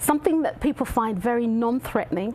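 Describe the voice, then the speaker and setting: Amid noticeable background noise, a woman talks at a fairly quick pace with a slight London accent. Her voice is fairly high, with ordinary pitch variation. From London, England, of Jamaican heritage. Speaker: reflexologist. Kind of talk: talk show interview. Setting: studio. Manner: animated.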